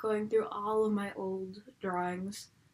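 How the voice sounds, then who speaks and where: Her pitch sits fairly high, and she speaks with an American accent. The woman keeps a fairly slow pace. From Buffalo, New York. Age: 20s. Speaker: YouTuber. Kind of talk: casual vlog. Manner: casual, filler-heavy.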